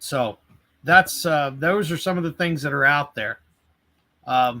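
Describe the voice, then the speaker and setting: With an American accent and a bright, sharp tone, this fairly high-pitched man speaks at a fairly slow pace with ordinary pitch variation. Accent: Southern US accent noticed in Boston. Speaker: tool company product trainer. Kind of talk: technical interview on live webcast. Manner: frequent fillers and repetitions.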